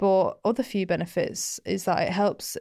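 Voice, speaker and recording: In a very clean recording with a silent background, a woman with a Mancunian accent speaks at a moderate pace and medium pitch. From Manchester, England. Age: 20s. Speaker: skincare podcast co-host. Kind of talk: casual explainer chat. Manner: animated.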